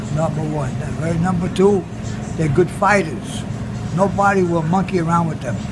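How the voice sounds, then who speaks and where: A man talks at a moderate pace. Loud background noise sits behind him. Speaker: war veteran. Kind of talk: interview answer. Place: cafe. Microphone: phone near.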